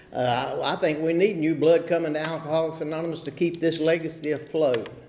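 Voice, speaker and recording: Here a man speaks in a North Carolina accent at a moderate pace. Room echo is audible. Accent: US Southern (North Carolina). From North Carolina, Huntersville near Charlotte. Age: 50s. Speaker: recovery meeting speaker. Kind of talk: recovery testimony. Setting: meeting hall at podium.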